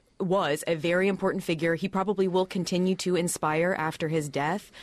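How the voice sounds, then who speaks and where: Her voice is an unremarkable speaking voice, a woman's at fairly low pitch with fairly even intonation. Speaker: journalist panelist. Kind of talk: panel discussion.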